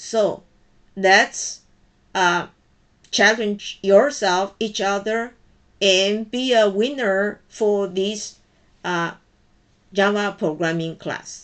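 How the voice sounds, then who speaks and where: A woman with a Chinese accent and medium pitch speaks at a very slow pace with long, frequent pauses. Her intonation is fairly even, and the background is quiet. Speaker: college programming instructor. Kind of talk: personal message to students.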